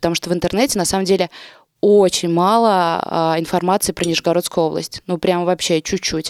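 A woman with an unremarkable speaking voice talks at a medium pitch with fairly even intonation, on a very clean recording with a silent background and a dry, close sound with no echo. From Russia, Nizhny Novgorod. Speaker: local media editor and event organizer. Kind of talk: casual chat.

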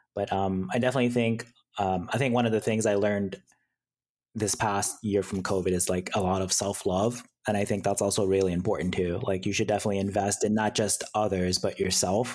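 In a very clean recording with a silent background, a man with an unremarkable speaking voice talks at a fairly quick pace, fairly low in pitch, with fairly even intonation and very even loudness. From Hawaii and Japan, then US mainland. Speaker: cybersecurity engineer guest. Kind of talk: casual chat. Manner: casual, laid-back, filler-heavy.

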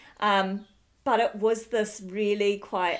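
Speaking very slowly, a woman uses a New Zealand accent. Her pitch sits at a medium level. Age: 40s. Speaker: podcast host, midwife. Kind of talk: interview.

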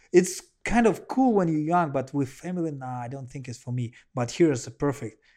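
A man with a Russian accent talks at a fairly quick pace in a fairly high pitch and a dark, mellow tone. His intonation is lively, and the background is quiet. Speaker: professional kickboxer and MMA fighter. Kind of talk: casual interview. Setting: at the host's home. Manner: animated.

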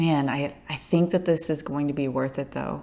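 Ordinary pitch variation at a fairly slow pace, in a very clean recording with a silent background. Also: woman. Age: 30s. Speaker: podcaster, small business founder. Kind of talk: solo casual monologue. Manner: halting, many self-restarts.

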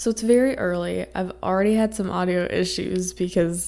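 Raspy and marked by vocal fry, a woman's fairly low voice keeps a moderate pace with fairly even intonation. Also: slightly mellow tone.

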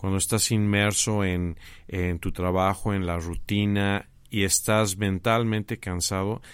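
A man's fairly low, monotone, flat voice in a very clean recording with a silent background. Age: 50s. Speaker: graphic designer and teacher. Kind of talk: interview.

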